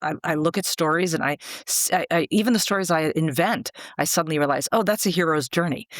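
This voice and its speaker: On a very clean recording with a silent background and a dry, close sound with no echo, a woman talks at a very fast pace with fairly low pitch and ordinary pitch variation. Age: 60s. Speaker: screenwriting mentor. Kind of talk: interview conversation.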